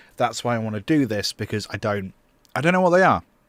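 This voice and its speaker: A man with a British accent. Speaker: music producer and streamer. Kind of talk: livestream tutorial. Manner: loud.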